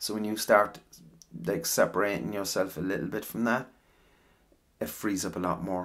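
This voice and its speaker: A man with an Irish accent, fairly low-pitched with vocal fry, at a moderate pace, ordinary pitch variation and long, frequent pauses. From Ireland. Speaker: ASMR voice actor. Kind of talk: casual rambling talk.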